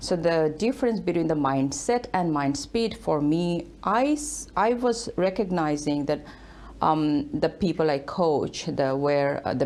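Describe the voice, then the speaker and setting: The speaker uses very wide pitch swings at a fairly slow pace. The delivery comes with a Bangladeshi accent. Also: woman. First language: Bengali. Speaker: author and leadership speaker. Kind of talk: TV interview. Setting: studio.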